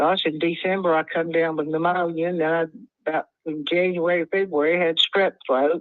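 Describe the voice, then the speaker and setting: A woman with a West Texas accent, fairly low pitch, monotone, flat intonation and a moderate pace. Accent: West Texas Southern. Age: 70s. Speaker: home seller. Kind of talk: phone call conversation. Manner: halting.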